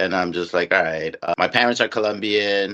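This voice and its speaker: With a New York accent, a man talks at a moderate pace in a fairly low pitch with a bright, sharp tone. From Queens, New York. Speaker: podcast host. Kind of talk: casual interview.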